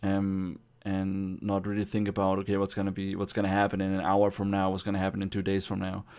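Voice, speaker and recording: A man with a German accent speaks very fast in a fairly low, flat monotone. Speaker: gamer podcast guest. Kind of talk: casual chat. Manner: halting.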